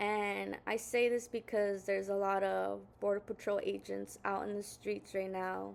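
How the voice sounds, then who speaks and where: The speaker talks at a fairly slow pace with a Spanish accent. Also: woman. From Southern California. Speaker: video blogger. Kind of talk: casual monologue. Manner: halting, many fillers.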